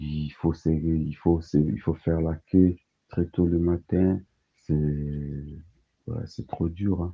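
Speaking at a very slow pace, a man uses a very deep, low pitch with fairly even intonation. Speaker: asylum seeker. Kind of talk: testimony.

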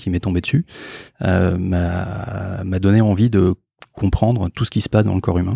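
A man with a dark, mellow tone and a very deep, low pitch. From France, Bordeaux. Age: 40s. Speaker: doctor and startup founder. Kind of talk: interview.

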